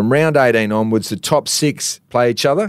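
The recording is very clean with a silent background. A man with an Australian accent talks at a moderate pace with ordinary pitch variation. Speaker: TV reporter and former footballer. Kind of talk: reading aloud; casual chat. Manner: animated.

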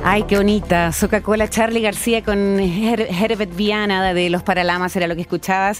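Her loudness stays very even and her intonation is flat and monotone as this woman, pitched in the middle range, speaks with hardly any pauses. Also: moderate pace. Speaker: radio host. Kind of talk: radio interview.

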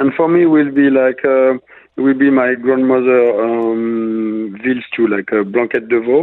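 In a French accent, a man speaks fairly slowly at medium pitch, keeping fairly even intonation and very even loudness. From La Rochelle, western France. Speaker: executive chef. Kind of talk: interview. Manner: halting, many fillers.

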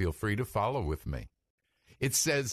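Against a quiet background, a man speaks at a medium pitch with very wide pitch swings. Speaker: rabbi and radio preacher. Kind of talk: fervent prayer, praying scripture aloud; radio sermon/teaching. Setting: radio studio broadcast. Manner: earnest, fervent, devotional.

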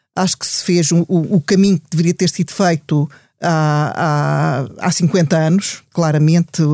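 A woman's fairly low, dark, mellow voice at a fairly slow pace, with fairly even intonation, dry and close with no echo, on a very clean recording with a silent background. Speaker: statistician and university lecturer. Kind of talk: panel discussion. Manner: halting, many fillers and repetitions.

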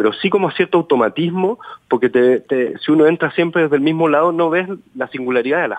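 Man with an ordinary speaking voice, ordinary pitch variation and a fairly quick pace, in a dry, close sound with no echo. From Chile. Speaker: novelist. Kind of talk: interview.

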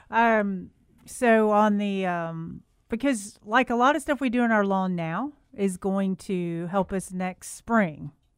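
Speaking very slowly with a Southern US accent, a woman uses a medium pitch and ordinary pitch variation. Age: 50s. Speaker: radio host, garden center manager. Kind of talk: call-in radio chat.

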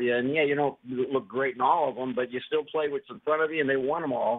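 A man with an American accent talks at a very fast pace in a fairly high pitch. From Ohio. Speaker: radio caller. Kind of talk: call-in sports talk.

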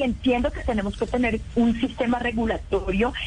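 Music plays behind a woman speaking in a high pitch. Her tone is animated, and her pace is fairly slow. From Colombia, Valle del Cauca. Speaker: actress and entrepreneur. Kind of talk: radio interview.

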